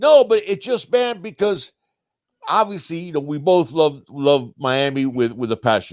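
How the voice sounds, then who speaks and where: With an animated tone, a man speaks at a moderate pace in a fairly high pitch, his voice making very wide pitch swings. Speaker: sports podcast co-host. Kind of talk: casual live-stream sports talk. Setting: live stream.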